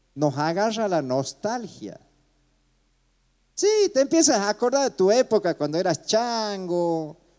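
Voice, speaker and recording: A man's dark, mellow, high voice with very wide pitch swings, at a fairly slow pace with long, frequent pauses, over a quiet background. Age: 60s. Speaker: comedian; stage comedian, storyteller. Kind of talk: stand-up. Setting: stage with audience. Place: stage. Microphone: handheld.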